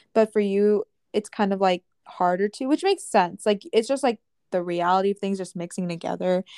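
Dry and close with no echo, a woman's dark, mellow voice at medium pitch moves at a fairly quick pace with ordinary pitch variation. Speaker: podcast co-host. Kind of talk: casual chat.

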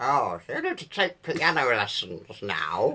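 A fairly slow, put-on character voice. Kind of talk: formal, clipped. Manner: stern, prim, commanding.

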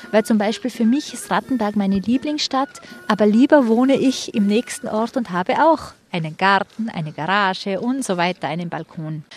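A woman's fairly high, lively voice with a Tyrolean accent, at a moderate pace, amid noticeable background noise. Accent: Tyrolean dialect with strong K. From Tyrol, Austria. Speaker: tour guide. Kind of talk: guided city tour.

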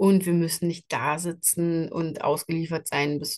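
A woman speaks at a fairly low pitch. Hers is an unremarkable speaking voice. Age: 40s. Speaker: podcast host and skin health coach. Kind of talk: solo podcast monologue. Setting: travelling, in Switzerland. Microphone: travel setup without usual microphone, poorer sound.

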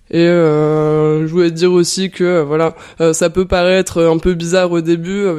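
With a dark, mellow tone, a woman speaks at a fairly low pitch. Her delivery is fairly slow with monotone, flat intonation. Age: 20s. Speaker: artist and entrepreneur. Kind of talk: interview.

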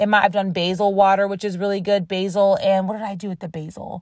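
A woman with an American accent and a medium-pitched, animated tone, on a very clean recording with a silent background. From Rochester, New York. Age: 30s. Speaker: podcast host. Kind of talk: casual solo podcast monologue. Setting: in a car. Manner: casual, chatty, animated.

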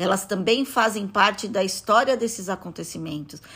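A woman with a Brazilian accent speaks at a medium pitch with lively intonation, on a very clean recording with a silent background. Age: 50s. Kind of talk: interview. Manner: halting.

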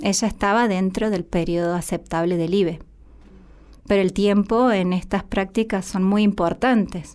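A woman talks in an unremarkable speaking voice at a medium pitch and fairly slow pace, with fairly even intonation, very even loudness, and a very clean recording against a silent background. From Argentina, Santiago del Estero. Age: 30s. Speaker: psychologist. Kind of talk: interview testimony.

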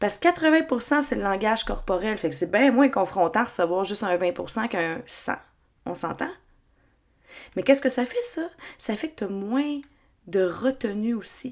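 Speaking with a Quebec accent, a woman uses a fairly high pitch and lively intonation at a fairly slow pace with long, frequent pauses. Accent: Québécois French. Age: 30s. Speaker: podcast host. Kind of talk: solo podcast monologue.

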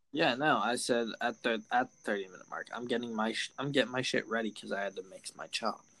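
An unremarkable speaking voice moves at a fairly quick pace with hardly any pauses. Its intonation is fairly even, but its loudness swings widely. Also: man, medium pitch for a man. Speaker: podcast host. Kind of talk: casual banter. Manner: casual, slangy.

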